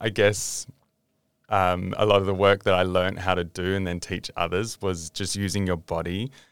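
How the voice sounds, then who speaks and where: Very deep and low, a man's voice carries an Australian accent and fairly even intonation. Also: very clean recording, silent background. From Western Australia (Southwest, Perth). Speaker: father and small business owner. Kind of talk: casual interview chat.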